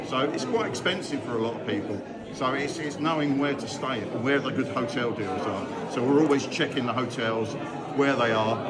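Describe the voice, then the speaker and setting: A man's voice, with ordinary pitch variation, is heard through audible room echo and noticeable background noise. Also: medium pitch for a man, fairly quick pace. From southern England, Brighton. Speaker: goth festival community organiser. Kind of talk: casual interview. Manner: animated.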